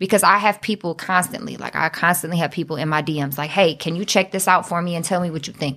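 Speaking at a very fast pace, a woman with a Detroit accent has a fairly low pitch and a bright, sharp tone. Her intonation stays fairly even. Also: hardly any pauses. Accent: Detroit urban American English. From US Midwest, Southwest Detroit, Michigan. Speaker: rapper. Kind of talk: casual chat.

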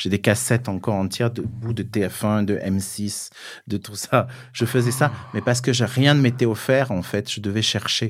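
The recording is very clean, with a silent background. The speech moves at a fairly slow pace with fairly even intonation. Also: man, medium pitch for a man. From southern France (Cévennes, Gard). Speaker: fashion publicist. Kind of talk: interview conversation. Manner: halting, many repetitions.

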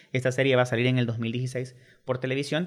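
A man is doing the talking. His pace is fairly quick. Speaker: film director. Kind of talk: radio interview.

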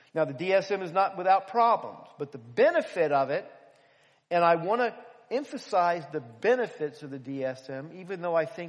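A man with an American accent talks at a moderate pace in a high voice, with lively intonation and big swings in loudness. The background is quiet. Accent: Philadelphia, slight Southern. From Philadelphia. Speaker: preacher. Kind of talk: sermon. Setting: church.

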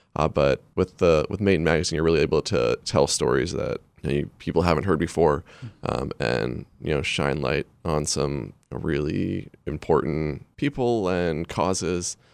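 With vocal fry and a very deep, low pitch, a man talks at a moderate pace with ordinary pitch variation in a dry, close sound with no echo. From Maine. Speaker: magazine editor. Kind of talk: casual chat. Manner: halting.

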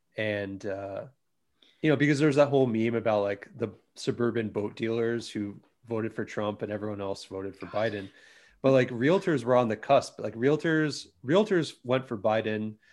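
A man talks at a moderate pace in a normal speaking voice of medium pitch. The background is quiet. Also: ordinary pitch variation. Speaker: podcast host. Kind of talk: casual chat.

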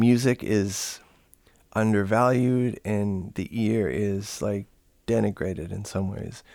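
Very slowly, a man talks at a fairly low pitch with ordinary pitch variation and a dark, mellow tone. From Canada. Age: 40s. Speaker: musician and composer. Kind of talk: interview. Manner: halting, many fillers.

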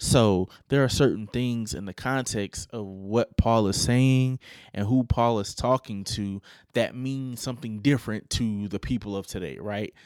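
A man talks at a fairly slow pace in an unremarkable speaking voice of medium pitch with ordinary pitch variation, in a dry, close sound with no echo and a very clean recording over a silent background. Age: 20s. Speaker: podcast host. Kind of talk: solo commentary podcast. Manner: casual, conversational.

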